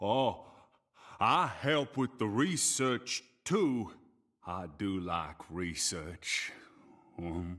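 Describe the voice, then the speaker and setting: In a very clean recording with a silent background, a man puts on a character voice at a fairly low pitch. He speaks very slowly, with long, frequent pauses. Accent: rural American. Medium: video game. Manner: slow, simple, mumbling.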